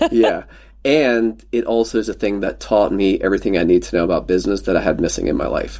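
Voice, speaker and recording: A man with a Pennsylvania accent at a very fast pace. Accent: Pennsylvania American. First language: Pennsylvania Dutch. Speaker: former real estate team leader. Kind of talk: casual podcast interview. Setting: podcast recording, audio only.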